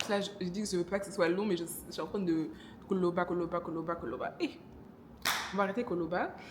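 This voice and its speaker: Against noticeable background noise, a woman talks at a very fast pace and medium pitch, with ordinary pitch variation and long, frequent pauses. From DR Congo. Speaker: vlogger. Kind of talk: casual vlog talk to camera. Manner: hesitant, many fillers.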